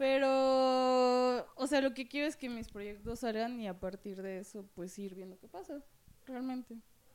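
Her voice is high for a woman, moving at a fairly slow pace with big swings in loudness. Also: ordinary pitch variation. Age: 20s. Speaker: podcast co-host, visual artist. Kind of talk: casual chat.

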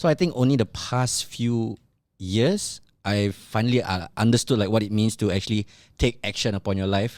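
A man with an unremarkable speaking voice, fairly low in pitch and with ordinary pitch variation, is heard on a very clean recording against a silent background. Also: moderate pace. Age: 30s. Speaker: podcast host. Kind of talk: casual chat.

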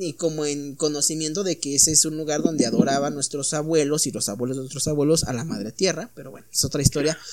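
Noticeable background noise surrounds a man speaking in a Mexican accent. He talks at a fairly quick pace with a fairly high pitch. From Mexico. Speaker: podcast host. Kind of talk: casual chat. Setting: home studio.

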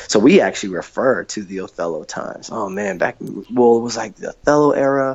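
A man at medium pitch, fairly quick and with hardly any pauses, his intonation lively. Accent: American. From US Northwest, Seattle. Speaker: hip hop artist and youth program director. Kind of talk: casual interview chat. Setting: remote call. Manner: halting, many fillers.

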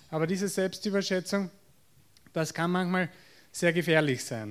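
This man speaks with a Viennese accent. His pitch is high. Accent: Viennese Austrian German. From Austria, Vienna. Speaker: psychotherapist. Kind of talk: lecture. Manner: halting, with fillers and repetitions.

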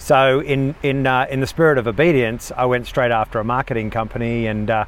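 Speaking at a fairly quick pace, a man has an unremarkable speaking voice. His pitch is medium and his intonation fairly even. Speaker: business owner and pastor. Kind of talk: casual interview chat. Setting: outdoors in parking lot after a hike.

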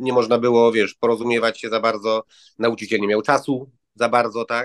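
At a moderate pace and medium pitch, a man speaks in a dry, close sound with no echo. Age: 50s. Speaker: language course student. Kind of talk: interview. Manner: halting.

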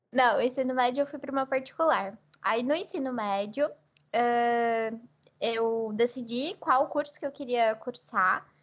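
A woman's high voice with ordinary pitch variation at a fairly slow pace. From Brazil, interior of São Paulo state (São José do Rio Preto). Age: 20s. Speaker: university student. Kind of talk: casual interview.

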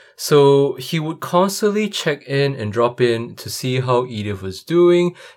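A man's fairly slow speech with very wide pitch swings and big swings in loudness, over noticeable background noise. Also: fairly high pitch for a man. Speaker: podcaster and auditor. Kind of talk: casual interview answers and intro monologue.

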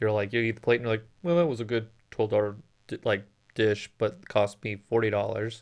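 A man with an American accent, a fairly low pitch, a fairly quick pace, ordinary pitch variation and a plain, everyday voice. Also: quiet background. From Phoenix, Arizona. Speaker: podcast co-host. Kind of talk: casual chat.

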